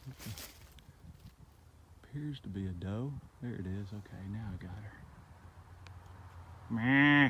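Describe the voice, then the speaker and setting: A loud man speaks at a fairly slow pace in a fairly low pitch, with a bright, sharp tone, ordinary pitch variation and long, frequent pauses. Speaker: hiker vlogger. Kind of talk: casual vlog narration. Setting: outdoors on a hiking trail.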